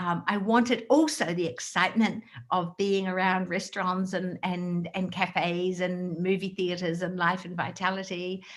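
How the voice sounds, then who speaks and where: A woman speaks in an Australian accent. She leaves hardly any pauses. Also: medium pitch for a woman, fairly even intonation, moderate pace. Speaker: direct sales trainer. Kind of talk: motivational talk. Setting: video call.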